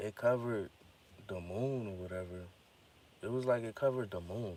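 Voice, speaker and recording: The voice belongs to a man and shows ordinary pitch variation. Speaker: vlogger sharing personal theories. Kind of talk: casual monologue. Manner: informal, slang-heavy.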